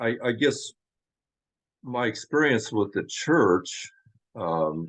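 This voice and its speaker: With an American accent, a man speaks at a medium pitch and a very slow pace. His intonation is lively, and the background is quiet. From US Midwest, Kansas. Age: 60s. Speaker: former church member telling life story. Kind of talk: interview testimony.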